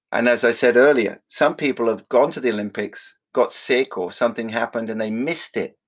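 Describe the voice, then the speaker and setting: Using a normal speaking voice, a man talks at a medium pitch with ordinary pitch variation, a fairly quick pace and hardly any pauses, on a very clean recording with a silent background. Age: 50s. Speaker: spiritual teacher.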